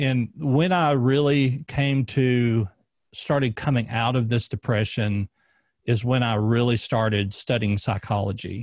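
The speaker talks in a Southern US accent at a very even loudness. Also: man, medium pitch for a man, ordinary pitch variation, fairly slow pace, dry, close sound with no echo, quiet background. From US South, Arkansas. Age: 30s. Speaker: former police officer and podcast host. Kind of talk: casual interview, personal testimony.

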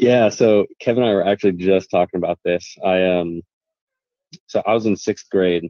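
Speaking fairly quickly, a man has a very deep, low pitch. He has a Midwestern US accent. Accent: US Midwest. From Kansas, Wichita. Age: 20s. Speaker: lawn care business owner and YouTuber. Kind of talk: casual chat.

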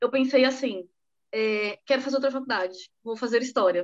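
A woman's high voice keeps a moderate pace. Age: 30s. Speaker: podcast co-host, psychotherapist. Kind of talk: casual chat.

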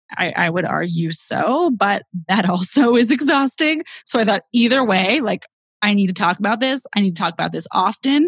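With an American accent, a woman speaks at a moderate pace in a somewhat breathy, fairly high voice with very wide pitch swings, the sound dry and close with no echo. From US West Coast, San Francisco Bay Area. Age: 20s. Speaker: comedian and grief podcast host. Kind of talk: casual interview chat.

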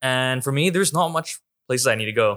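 Delivered at a fairly quick pace, a man's medium-pitched voice, an unremarkable speaking voice, shows ordinary pitch variation and a dry, close sound with no echo. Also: very clean recording, silent background. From Hong Kong and Vancouver, Canada. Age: 20s. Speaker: podcast guest. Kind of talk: casual chat.

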